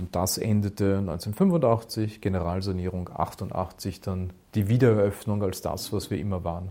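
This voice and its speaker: At a fairly slow pace, a man with a fairly low pitch and a dark, mellow tone keeps his intonation fairly even. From Austria, Burgenland. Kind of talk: interview.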